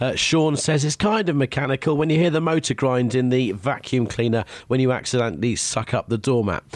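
With a British accent, a man talks at a fairly quick pace with hardly any pauses and very even loudness. His pitch is medium and his intonation lively. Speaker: radio host. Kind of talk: casual chat. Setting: home office.

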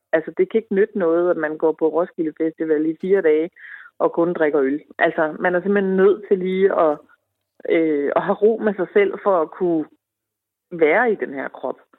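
Here is a woman with an unremarkable speaking voice at a fairly low pitch. She keeps a moderate pace with ordinary pitch variation. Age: 40s. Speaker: woman in menopause. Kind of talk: interview.

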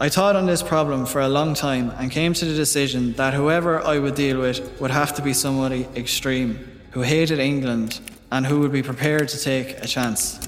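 Noticeable background noise runs under a man's voice. He keeps a moderate pace and fairly even intonation. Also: fairly high pitch for a man. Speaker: voice actor reading Broy's memoir. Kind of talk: scripted first-person reading of a historical account.

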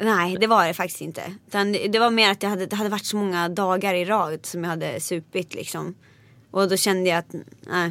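On a very clean recording with a silent background, a woman speaks at a medium pitch in a monotone, flat intonation. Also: fairly quick pace. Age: 20s. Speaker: singer. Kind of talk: interview.

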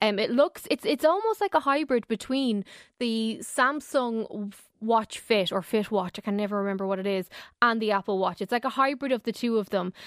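With an Irish accent, a woman speaks at a fairly high pitch and moderate pace with ordinary pitch variation, in a very clean recording with a silent background and a dry, close sound with no echo. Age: 30s. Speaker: technology correspondent. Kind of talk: radio tech segment. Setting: radio studio.

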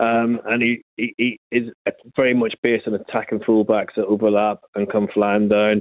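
A man talks at a moderate pace with very even loudness. His intonation is monotone and flat. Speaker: football podcaster, QPR fan. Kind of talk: phone-in interview. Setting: phone call.

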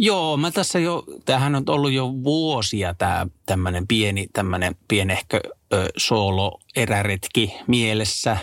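On a very clean recording with a silent background, the speech moves at a very slow pace with lively intonation and very even loudness. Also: man, medium pitch for a man. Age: 30s. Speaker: travel podcast co-host. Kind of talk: casual chat.

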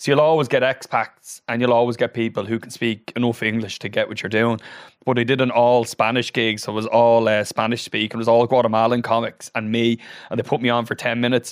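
A man in a Dublin accent at a very fast pace, medium in pitch, with monotone, flat intonation against a quiet background. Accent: Dublin Irish. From Ireland (Dublin and Wicklow). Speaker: comedian. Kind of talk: casual chat.

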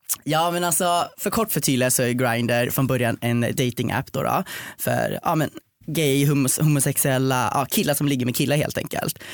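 Here is a man with a plain, everyday voice and a fairly high pitch. He keeps a moderate pace, ordinary pitch variation and very even loudness. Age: 20s. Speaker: podcast guest. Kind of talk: casual chat. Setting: studio.

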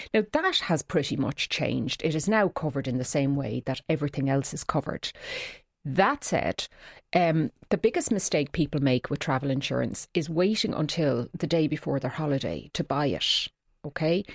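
A woman speaks at a very deep, low pitch with vocal fry and ordinary pitch variation. The sound is dry and close, with no echo. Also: moderate pace, very clean recording, silent background. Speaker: consumer affairs expert. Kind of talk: radio advice segment. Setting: studio.

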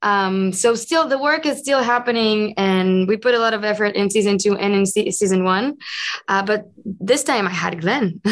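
In an Israeli accent, a woman speaks at a medium pitch and a moderate pace, with ordinary pitch variation and very even loudness. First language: Hebrew. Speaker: actress. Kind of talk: interview. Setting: video call.

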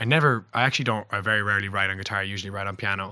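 Speaking with a Cork accent, a man uses a fairly low pitch and fairly even intonation. His tone is bright and sharp, and the very clean recording has a silent background. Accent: Cork Irish. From Ireland, Cork (Passage West). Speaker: singer-songwriter. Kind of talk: casual chat.

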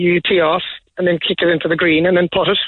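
Talking at a fairly quick pace, a man with a Cork accent has a high pitch. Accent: Cork Irish. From Ireland. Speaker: sports venue owner. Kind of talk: radio interview. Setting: phone call.

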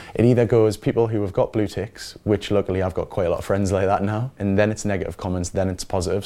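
A man's fairly low, dark and mellow voice with a Geordie accent, very fast and monotone, with flat intonation. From Newcastle, northeast England. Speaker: reality TV personality. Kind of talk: interview.

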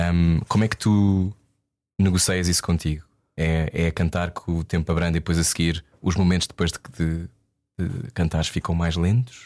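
Speaking at a moderate pace, a man with a very deep, low voice comes through dry and close with no echo on a very clean recording over a silent background. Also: fairly even intonation. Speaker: radio host. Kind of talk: interview.

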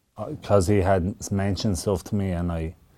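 With a Wexford Irish accent, a man speaks in a dark, mellow tone and fairly even intonation in a very clean recording with a silent background. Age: 30s. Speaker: professional boxer. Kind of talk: radio interview. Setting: radio studio.

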